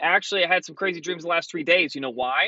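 The man's pitch is high, with ordinary pitch variation, and the sound is dry with no echo. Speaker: vlogger. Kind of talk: casual vlog chat. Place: car. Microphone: phone near.

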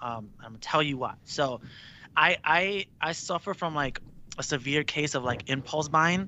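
A man's voice at a moderate pace, fairly high in pitch, with ordinary pitch variation, a dry sound with no echo and light background noise. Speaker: rock band singer. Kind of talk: casual interview. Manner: laid-back, casual with frequent laughter. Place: home room. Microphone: studio mic.

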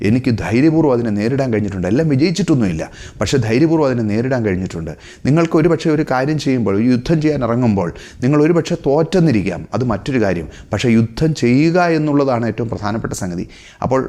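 A man's medium-pitched voice with a dark, mellow tone and lively intonation. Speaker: motivational speaker. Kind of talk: motivational talk.

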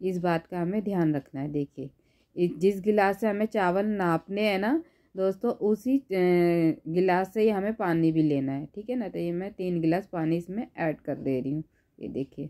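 The very clean recording, with a silent background and a dry, close sound with no echo, carries a woman's dark, mellow, medium-pitched voice at a fairly slow pace, with ordinary pitch variation and hardly any pauses. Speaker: cooking YouTuber. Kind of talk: cooking tutorial. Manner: animated.

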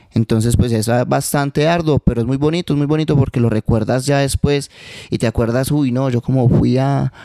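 With fairly even intonation, a man talks at a fairly quick pace. The sound is dry with no echo and the background is quiet. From Manizales, Colombia; Colombia. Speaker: urban music artist; guest. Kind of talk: interview. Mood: relaxed, reflective. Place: home room. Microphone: handheld.

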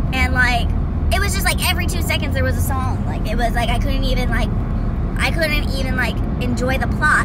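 Loud background noise surrounds a woman whose voice has a dry sound with no echo. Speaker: vlogger. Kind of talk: casual rant to camera. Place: car. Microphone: phone near.

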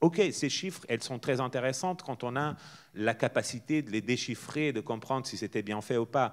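Against a quiet background, a man is speaking. His pace is moderate, with ordinary pitch variation. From northern Portugal. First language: Portuguese (speaking French). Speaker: festival director and theatre artist; guest. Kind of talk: public talk; interview answer. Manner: informal, hesitant with fillers. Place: stage. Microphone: handheld.

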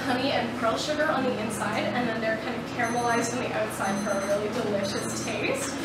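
A woman talks at a moderate pace amid loud background noise and audible room echo. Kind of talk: interview answer. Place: cafe.

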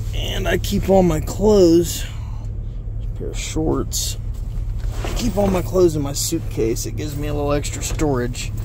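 A man's voice with long, frequent pauses, a dry sound with no echo, and noticeable background noise. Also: moderate pace. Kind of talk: casual vlog chat. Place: car. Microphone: phone near.

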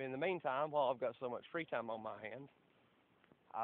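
A man speaks with a Southern US accent. The sound is dry, with no echo. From southeast Tennessee. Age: 30s. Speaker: construction worker. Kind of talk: casual talk to camera. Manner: hesitant, casual. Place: garden. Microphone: phone near.

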